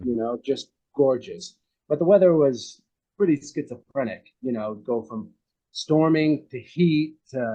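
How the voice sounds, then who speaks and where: Using lively intonation and long, frequent pauses, a man with an American accent speaks at a moderate pace in a fairly high pitch. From United States. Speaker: actor. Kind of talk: interview answer. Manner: casual, conversational.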